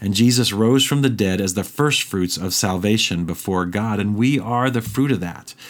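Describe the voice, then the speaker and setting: A man with an American accent speaks at a moderate pace with hardly any pauses. His pitch is fairly low, with ordinary pitch variation. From Indiana, US Midwest. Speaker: podcast host, Bible teacher. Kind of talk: Bible study teaching. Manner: conversational with frequent fillers.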